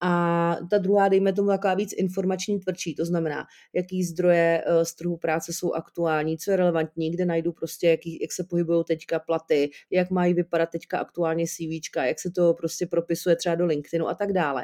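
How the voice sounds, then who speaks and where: In a very clean recording with a silent background and a dry, close sound with no echo, a dark, mellow voice runs at a fairly quick pace with hardly any pauses and a monotone, flat intonation. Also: woman, fairly low pitch for a woman. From Czechia, Jablonec nad Nisou. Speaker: career coach. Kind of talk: interview. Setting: recording on a Liberec to Prague link.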